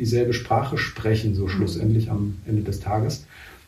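Somewhat breathy and dark, mellow in tone, a man's voice comes with audible room echo. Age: 40s. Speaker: carpet manufacturer. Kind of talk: interview. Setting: on location at a rural workshop.

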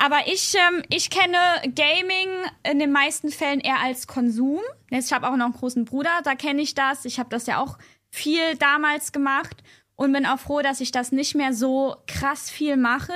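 In a very clean recording with a silent background, a woman projects a raised voice with a bright, sharp tone, high pitch, ordinary pitch variation and a moderate pace. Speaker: podcast guest. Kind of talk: casual chat. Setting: at a host's home. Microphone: not close to the microphone.

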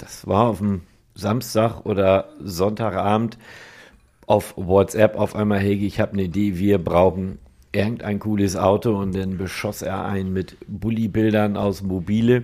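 Intonation stays monotone and flat from this man. His fairly low voice has a dark, mellow tone. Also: fairly slow pace, very clean recording, silent background. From northern Germany. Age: 50s. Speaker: car body and paint shop owner. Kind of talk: casual chat.

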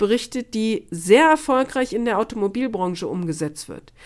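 A woman speaks at a moderate pace with lively intonation, recorded very cleanly against a silent background. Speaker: podcast host, sales and marketing consultant. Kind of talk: solo podcast monologue. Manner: formal.

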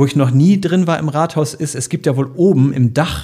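A man speaks at a moderate pace, his pitch varying in an ordinary way. The tone is dark and mellow, and somewhat breathy. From Bremen, northern Germany. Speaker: radio morning show host. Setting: podcast studio.

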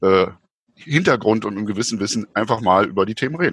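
The pitch varies in an ordinary way, and the sound is dry and close with no echo. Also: man. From East Germany. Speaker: historian. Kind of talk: casual chat. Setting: video call. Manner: hesitant, many fillers.

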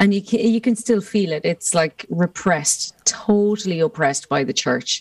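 Noticeable background noise surrounds a woman with an Irish accent, her pitch medium and her intonation lively. She barely pauses, and the sound is dry and close with no echo. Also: moderate pace. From Ireland. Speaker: musician. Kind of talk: casual interview chat. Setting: remote call from home.

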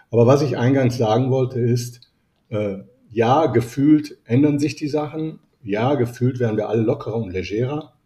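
A man's medium-pitched, somewhat breathy voice, dark and mellow in tone, at a moderate pace with ordinary pitch variation. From Italy (Rome). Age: 50s. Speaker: business etiquette coach. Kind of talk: interview.

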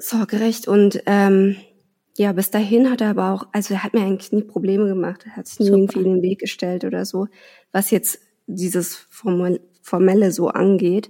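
At a moderate pace, a woman with a medium pitch and a dark, mellow tone speaks in a monotone, flat way, her loudness swinging widely. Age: 30s. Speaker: mother sharing fertility treatment story. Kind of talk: personal interview, emotional testimony.

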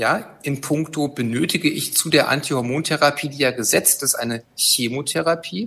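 A man's bright, sharp voice, fairly high in pitch with ordinary variation, at a moderate pace. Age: 50s. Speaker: gynecologist and chief physician. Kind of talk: expert interview.

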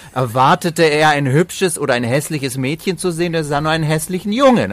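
A man's fairly high pitch shows ordinary pitch variation in a plain, everyday voice. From Bavaria and Slovenia. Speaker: entertainer and actor. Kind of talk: casual interview.

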